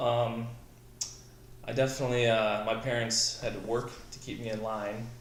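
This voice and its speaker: Over noticeable background noise and audible room echo, a man with a Midwestern American accent talks at a moderate pace in a medium pitch. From Southwest Michigan. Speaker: military veteran, company founder. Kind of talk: casual interview.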